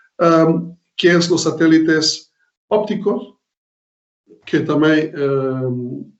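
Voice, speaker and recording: A man with a Portuguese accent speaks at a very slow pace with long, frequent pauses. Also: fairly high pitch for a man, ordinary pitch variation. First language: Portuguese (speaking Spanish). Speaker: professor. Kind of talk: lecture. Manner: halting, many fillers.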